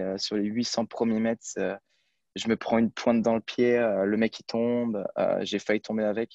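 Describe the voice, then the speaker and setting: A man's medium-pitched, monotone, flat voice at a moderate pace, dry and close with no echo over a quiet background. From France, Brittany. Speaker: student athlete, runner. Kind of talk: interview. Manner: halting, many fillers.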